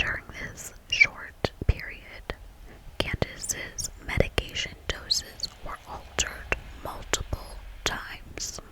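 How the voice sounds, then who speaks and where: Whispering at a very slow pace, a woman swings widely in loudness over noticeable background noise. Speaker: ASMR artist. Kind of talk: whispered true crime reading. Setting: ASMR microphone recording. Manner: whispered, soft.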